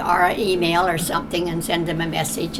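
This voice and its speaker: Noticeable background noise behind a woman speaking at a fairly low pitch. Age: 80s+. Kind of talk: testimonial interview answer.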